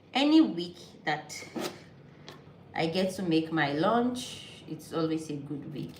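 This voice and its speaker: A woman with a Nigerian accent talks at a fairly slow pace in a very deep, low voice with ordinary pitch variation, while noticeable background noise and audible room echo fill the recording. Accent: Nigerian (Yoruba) English. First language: Yoruba. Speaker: vlogger. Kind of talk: casual vlog talk while cooking.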